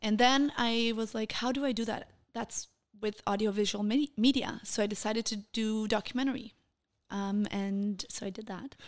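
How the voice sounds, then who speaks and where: In a Portuguese accent, a woman talks at a fairly high pitch with fairly even intonation. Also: moderate pace. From Denmark, Copenhagen, Brazilian family. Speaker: television correspondent. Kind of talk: casual interview.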